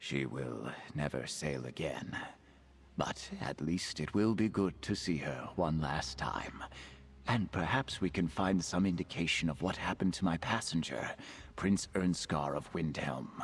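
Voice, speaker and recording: A man puts on a character voice with a very deep, low pitch. Background noise is clear behind him. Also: moderate pace. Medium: video game. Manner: earnest.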